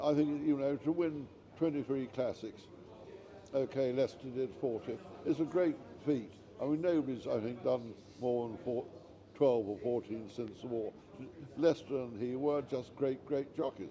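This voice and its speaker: A man at medium pitch and moderate pace, with ordinary pitch variation, long, frequent pauses and noticeable background noise. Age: 80s+. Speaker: author. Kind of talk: interview answer.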